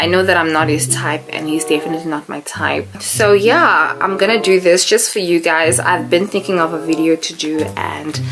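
A woman speaks with ordinary pitch variation over clear music in the background. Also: fairly low pitch for a woman, moderate pace. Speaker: vlogger. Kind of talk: casual vlog chat. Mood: nervous excited. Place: home room. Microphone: camera far.

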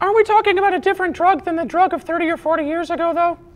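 A cartoonish character voice pitched extremely high and rattling along at a very fast pace. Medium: puppet.

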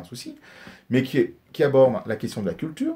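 Somewhat breathy and dark, mellow in tone, a man talks at a fairly quick pace with very wide pitch swings. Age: 50s. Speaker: politician. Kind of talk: interview. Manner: halting.

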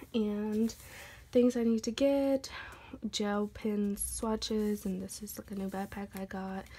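A woman speaks very slowly in a dark, mellow tone that is somewhat breathy. Her intonation stays fairly even. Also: medium pitch for a woman, big swings in loudness. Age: 20s. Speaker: YouTuber. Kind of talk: casual vlog flip-through. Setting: home recording. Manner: casual, hesitant with many fillers. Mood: relaxed, cheerful. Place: home room. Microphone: phone near.

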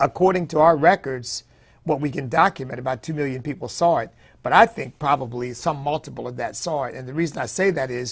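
Somewhat breathy, a man speaks very fast with ordinary pitch variation against a quiet background. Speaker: political commentator, pastor. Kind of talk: commentary. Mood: animated, laughs at times. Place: studio. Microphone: lapel.

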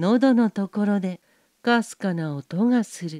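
On a very clean recording with a silent background and a dry, close sound without echo, a woman speaks very slowly in a calm, gentle tone at a medium pitch with ordinary pitch variation. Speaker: narrator. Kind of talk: bedtime story reading.

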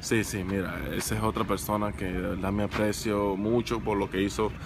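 Speaking at a moderate pace in a fairly low voice, a man keeps his intonation fairly even, with a dry sound, no echo and noticeable background noise. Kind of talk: interview answer. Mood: warm, grateful. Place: stadium. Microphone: phone near.

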